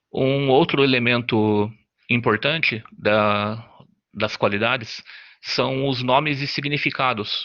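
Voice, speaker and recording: A man with a medium pitch speaks at a very slow pace, his intonation fairly even and his loudness very even. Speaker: student presenter. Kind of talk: class presentation. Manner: halting.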